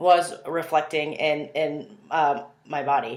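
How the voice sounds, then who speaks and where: The pitch is very deep and low. It belongs to a woman. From US West Coast. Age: 30s. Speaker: naturopathic physician and CrossFit coach. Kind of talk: video application monologue. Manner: halting, many fillers.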